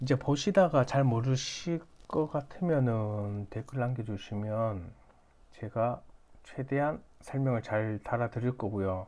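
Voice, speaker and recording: The voice has a dark, mellow tone and ordinary pitch variation. It moves at a very slow pace. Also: man, medium pitch for a man. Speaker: stock beginner YouTuber, app maker. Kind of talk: tutorial. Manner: halting, self-correcting.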